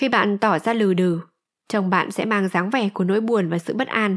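Her pitch rises and falls in a typical way. The woman's voice sits at a mid-range pitch. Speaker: audiobook narrator. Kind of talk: reading aloud.

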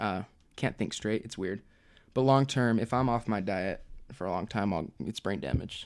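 With a normal speaking voice and a fairly low pitch, a man with an American accent talks at a moderate pace with ordinary pitch variation in a very clean recording with a silent background. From Utah. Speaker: nursing student, returned missionary. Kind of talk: casual interview, personal story.

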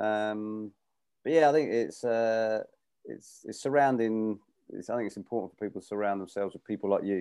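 With an English accent, a man speaks at a fairly quick pace in a fairly low pitch and a dark, mellow tone, with ordinary pitch variation and big swings in loudness. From UK. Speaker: gym owner and running coach. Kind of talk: interview.

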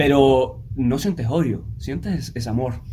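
In a Venezuelan accent, a man with fairly high pitch and ordinary pitch variation sounds somewhat breathy, with audible room echo. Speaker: podcast co-host. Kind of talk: casual chat.

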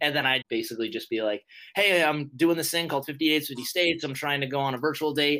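The voice is bright and sharp, with an American accent. It moves very fast with ordinary pitch variation. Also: man, fairly high pitch for a man. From Montana. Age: 20s. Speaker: social media creator. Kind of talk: casual interview chat. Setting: remote call.

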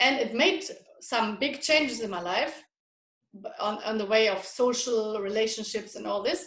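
Audible room echo surrounds a woman with a fairly high pitch. She leaves long, frequent pauses. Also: lively intonation, moderate pace. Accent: German. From Germany. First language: German. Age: 30s. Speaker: health and nutrition coach. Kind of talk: interview.

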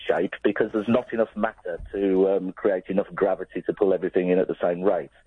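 A man with a Birmingham accent. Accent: Brummie. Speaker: caller. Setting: phone call.

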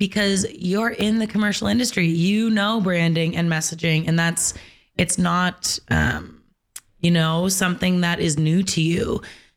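The delivery is fairly slow, using a plain, everyday voice and ordinary pitch variation. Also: woman. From Nova Scotia, Canada. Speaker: actress and singer, social media consultant. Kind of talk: casual interview. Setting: studio.

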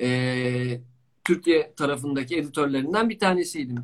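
A man is speaking. His intonation is lively. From Istanbul, Turkey. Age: 40s. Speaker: digital marketing expert. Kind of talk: casual interview.

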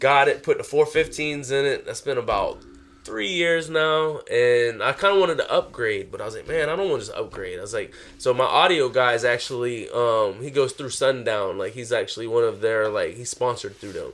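A man with a Southern US accent at a fairly quick pace, with big swings in loudness. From South Carolina. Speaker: hairline specialist and mobile DJ. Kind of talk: casual chat.

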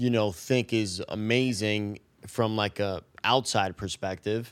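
A man speaks very slowly in a New York accent. The recording is very clean, with a silent background. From New York, Bronx. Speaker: podcast host. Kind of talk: casual chat.

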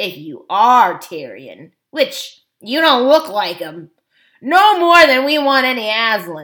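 A woman puts on a character voice with growling, big pitch swings and a fairly high pitch, speaking at a slow pace. Her tone is fairly bright, and audible room echo surrounds her.

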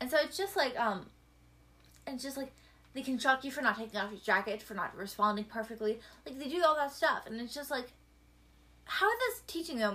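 Raised and projected, a woman's high-pitched voice has a bright, sharp tone, lively intonation and a fairly quick pace. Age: 20s. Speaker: podcast co-host. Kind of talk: casual chat.

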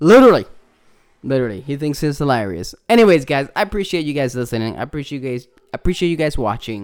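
The speaker has a Puerto Rican accent. The pace is very fast. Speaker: podcast host. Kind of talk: casual chat. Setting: video call. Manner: filler-heavy, casual.

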